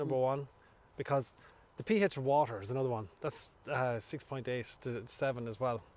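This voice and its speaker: Speaking at a moderate pace, a man with an Irish accent keeps a medium pitch and ordinary pitch variation. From Ireland. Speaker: farmer. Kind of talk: interview answer. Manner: straight-talking.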